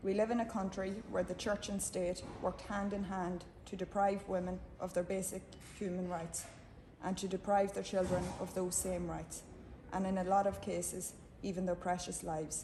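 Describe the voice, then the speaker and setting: With an Irish accent, a woman of medium pitch talks at a moderate pace in monotone, flat intonation. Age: 60s. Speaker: campaigner for mother and baby home survivors. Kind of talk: prepared speech at a book launch. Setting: book launch event with audience. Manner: formal.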